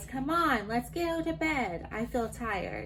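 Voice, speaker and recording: Someone does a put-on character voice at a fairly slow pace. Background noise is clear. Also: woman, high pitch for a woman. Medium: read story.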